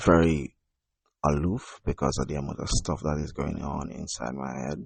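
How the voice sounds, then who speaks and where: A man talks at a moderate pace. His voice carries vocal fry. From Jamaica. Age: 30s. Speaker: podcast host and poet. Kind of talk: personal monologue podcast. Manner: quiet, not very loud; halting, many fillers.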